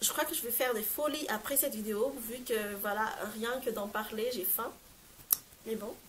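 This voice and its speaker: A woman talks at a moderate pace with a fairly high pitch and ordinary pitch variation, leaving long, frequent pauses. Background noise is noticeable. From Madagascar. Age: 20s. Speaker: lifestyle vlogger. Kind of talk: casual talk to camera. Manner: upbeat.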